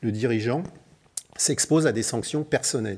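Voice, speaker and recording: A man's voice at a fairly quick pace, with ordinary pitch variation and a quiet background. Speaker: chartered accountant and auditor; conference presenter. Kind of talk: conference workshop presentation. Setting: conference hall with audience. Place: hall.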